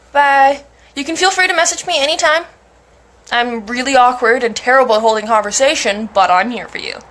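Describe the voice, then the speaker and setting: Against noticeable background noise, a high-pitched woman talks at a fairly quick pace with lively intonation. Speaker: mental health streamer. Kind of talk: casual chat. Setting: live stream.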